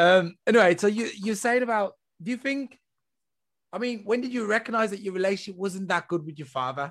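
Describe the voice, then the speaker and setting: Speaking with an English accent, a man uses a high pitch and ordinary pitch variation. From England. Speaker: podcast host. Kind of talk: interview. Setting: video call.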